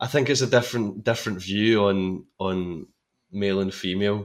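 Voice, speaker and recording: A man in a Scottish accent speaks at a fairly slow pace. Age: 20s. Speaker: actor. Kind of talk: casual chat.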